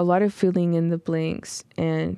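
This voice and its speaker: The speaker is a woman. Her background is quiet. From US, Mexican-American family. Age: 20s. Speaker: poet and university program coordinator. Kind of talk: poetry reading; casual interview.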